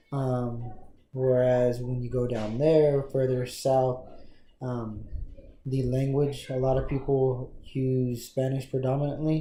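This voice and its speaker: Speaking very slowly in a flat monotone, a man with an American accent has a medium-pitched, somewhat breathy voice and a dark, mellow tone, with audible room echo. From Texas Panhandle, US. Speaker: interviewee. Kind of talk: interview. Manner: hesitant, many fillers.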